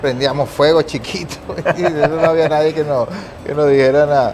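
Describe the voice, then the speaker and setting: A man with a fairly high pitch talks at a moderate pace over music in the background, with audible room echo. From Venezuela, Guayana region (Upata), born in Caracas. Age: 40s. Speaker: photographer. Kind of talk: TV interview.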